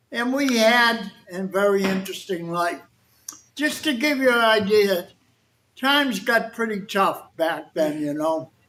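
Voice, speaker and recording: A man with a Boston accent, high in pitch with lively intonation, at a fairly slow pace. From Boston, Massachusetts (South Boston). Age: 80s+. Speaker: war veteran. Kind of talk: talk to an audience. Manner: conversational.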